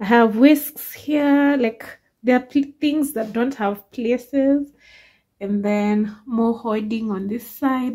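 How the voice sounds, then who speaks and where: Over a quiet background, a woman speaks very slowly in a somewhat breathy voice with fairly even intonation. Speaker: home vlogger. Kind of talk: casual vlog chat. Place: kitchen. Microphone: phone near.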